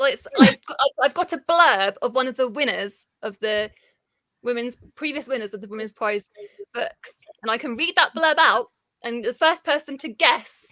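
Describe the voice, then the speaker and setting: In a dry, close recording with no echo, a woman projects a raised, high voice at a moderate pace. Her bright, sharp tone carries lively intonation and big swings in loudness. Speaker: book channel co-host. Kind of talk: casual chat; reading aloud.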